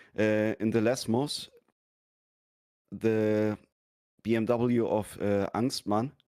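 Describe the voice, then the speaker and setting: A man's medium-pitched voice at a very slow pace, with long, frequent pauses, monotone, flat intonation and very even loudness. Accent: German. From Germany. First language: German. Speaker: sim racing driver. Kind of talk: post-race interview. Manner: halting.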